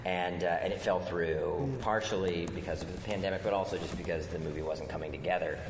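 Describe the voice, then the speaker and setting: Speaking fairly quickly with an American accent, a man is heard over noticeable background noise. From US East Coast, outside Washington, D.C. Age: 40s. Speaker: film writer-director and actor. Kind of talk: live podcast interview. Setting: stage with live audience at a convention.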